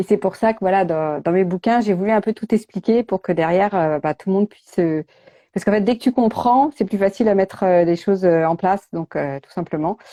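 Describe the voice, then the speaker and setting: The tone is dark and mellow with ordinary pitch variation, and the sound is dry and close with no echo against a quiet background. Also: woman. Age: 40s. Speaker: nutrition coach and author. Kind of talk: casual interview chat. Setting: Instagram live video call. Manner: hesitant, many fillers.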